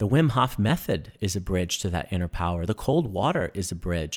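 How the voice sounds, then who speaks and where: Recorded very cleanly against a silent background, a man with an American accent speaks at a moderate pace in a fairly low pitch with lively intonation. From New York City. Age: 30s. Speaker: breathwork and wellness instructor, military veteran. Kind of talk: casual interview chat.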